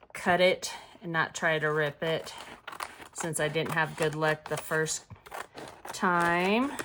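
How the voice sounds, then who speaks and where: Over noticeable background noise, a woman speaks fairly slowly in a fairly low voice with fairly even intonation. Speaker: crafting channel host. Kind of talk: tutorial. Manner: casual.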